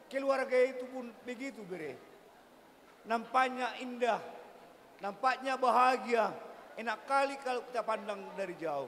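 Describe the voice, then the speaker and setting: With noticeable background noise around him, a man talks at a fairly slow pace in an extremely high pitch. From Batak village, North Sumatra. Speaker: bride's uncle giving wedding speech. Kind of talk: ceremonial speech.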